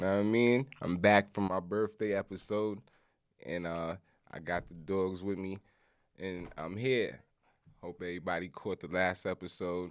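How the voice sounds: A man talks at a fairly slow pace with a low pitch and fairly even intonation. His tone is clear and smooth on a very clean recording with a silent background.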